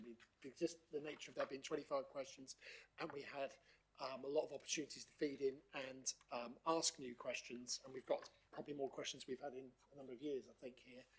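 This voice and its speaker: A man with a Norfolk accent speaks very fast in a fairly high pitch. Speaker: council committee chair. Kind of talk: formal meeting chairing. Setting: council meeting room, live streamed. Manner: hesitant, many fillers.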